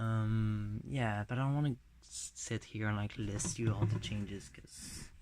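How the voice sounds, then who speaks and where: On a very clean recording with a silent background, a man speaks somewhat breathily with fairly even intonation. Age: 20s. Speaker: vlogger. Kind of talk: casual vlog update. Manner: casual, filler-heavy.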